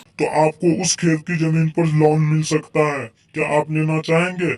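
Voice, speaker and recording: A man puts on a cartoonish character voice, fairly high in pitch, delivered at a moderate pace with monotone, flat intonation. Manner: formal, official.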